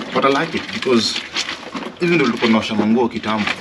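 Against loud background noise, a man speaks at a very fast pace. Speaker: vlogger. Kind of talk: casual vlog chat. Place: garden. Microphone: camera far.

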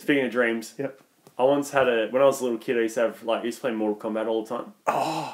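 A man with an Australian accent talks at a very fast pace. His medium-pitched voice has fairly even intonation. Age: 20s. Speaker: comedy podcast co-host. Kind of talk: casual chat.

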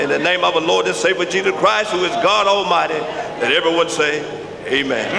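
With an American accent, a man speaks at a fairly quick pace. Noticeable background noise is present. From US South. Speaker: minister. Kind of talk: prayer. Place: hall. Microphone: podium.

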